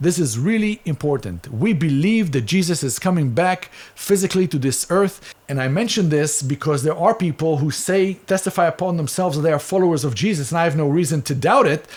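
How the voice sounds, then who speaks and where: Speaking with an Israeli accent, a man keeps a fairly quick pace with hardly any pauses. His intonation is lively. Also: fairly high pitch for a man. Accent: Israeli, noticeable. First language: Hebrew. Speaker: Bible teacher. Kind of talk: Bible teaching.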